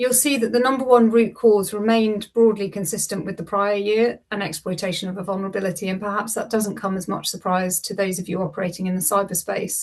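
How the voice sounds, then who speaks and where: With a British accent, a woman talks at a fairly quick pace with hardly any pauses, a medium pitch, ordinary pitch variation, and a somewhat breathy sound. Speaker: lawyer presenting cyber incident data. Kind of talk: webinar presentation.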